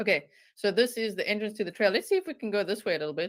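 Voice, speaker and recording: A woman's animated, very fast speech in a strong South African accent, at medium pitch with ordinary pitch variation. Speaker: true crime YouTuber. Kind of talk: live stream commentary.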